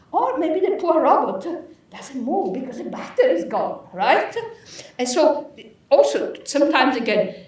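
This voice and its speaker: A woman with an Italian accent speaks at a moderate pace in a high pitch, with very wide pitch swings and big swings in loudness. Audible room echo and noticeable background noise fill the recording. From Italy. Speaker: professor. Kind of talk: lecture.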